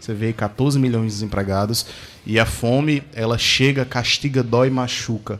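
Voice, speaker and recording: A man speaks at a moderate pace and medium pitch, his intonation fairly even over noticeable background noise. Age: 30s. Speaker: radio co-host. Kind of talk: casual radio chat. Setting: radio studio.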